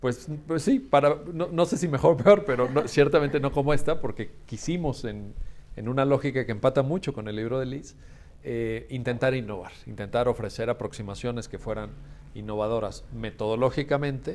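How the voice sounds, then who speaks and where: Moderate pacing and ordinary pitch variation in an unremarkable speaking voice. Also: man, medium pitch for a man. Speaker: law school founder and event host. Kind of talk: book presentation closing remarks.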